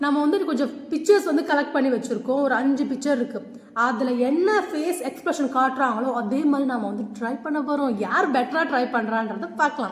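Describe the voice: A woman puts on a character voice that is high, husky, and hoarse. She speaks at a moderate pace over noticeable background noise.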